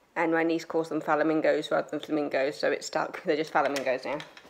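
Light background noise around a woman speaking at a moderate pace. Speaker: holiday vlogger. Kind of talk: casual vlog chat. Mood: relaxed, cheerful. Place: home room. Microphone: phone near.

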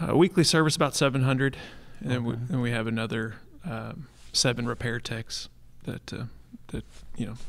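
Speaking at a fairly quick pace with long, frequent pauses, a man uses a medium-pitched voice with vocal fry and ordinary pitch variation. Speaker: pool service manager. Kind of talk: live podcast interview. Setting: stage with audience.

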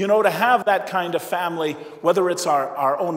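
The background is quiet. A high-pitched man speaks at a moderate pace. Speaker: priest giving homily. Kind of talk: sermon; in the tearful stretch, a hushed, solemn retelling of a father's grief. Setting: church. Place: church. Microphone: lapel.

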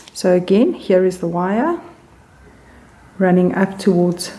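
Noticeable background noise sits behind a woman who speaks at a medium pitch and a fairly slow pace, with fairly even intonation. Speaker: sewing machine repairer. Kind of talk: repair tutorial narration. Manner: calm, careful, detailed.

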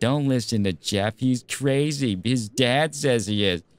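Fairly slow speech comes in a put-on character voice. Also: man, medium pitch for a man. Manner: unreasonable, annoying.

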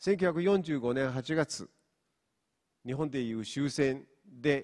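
A man with a Mongolian accent speaks at a medium pitch with lively intonation against a quiet background. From Inner Mongolia, China. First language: Mongolian (speaking Japanese). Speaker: professor; university professor. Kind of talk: lecture. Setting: stage with audience. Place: hall. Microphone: handheld.

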